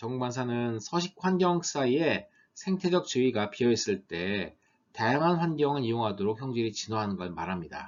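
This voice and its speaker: Very wide pitch swings from a man at medium pitch, moving at a moderate pace. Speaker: university lecturer. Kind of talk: lecture.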